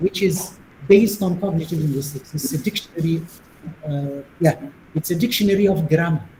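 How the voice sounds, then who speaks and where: With a Tunisian accent, a man speaks at a fairly quick pace in a high pitch, with ordinary pitch variation. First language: Tunisian Arabic. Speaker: linguistics professor, plenary speaker. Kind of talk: academic Q&A discussion.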